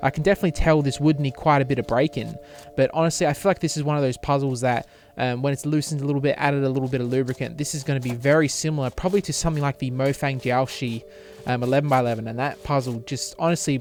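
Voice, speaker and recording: Music plays in the background as a man with an Australian accent talks at a very fast pace in a fairly high pitch, his tone enthusiastic. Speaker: cube shop owner and reviewer. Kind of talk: unboxing review. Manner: tongue-tied, many fillers.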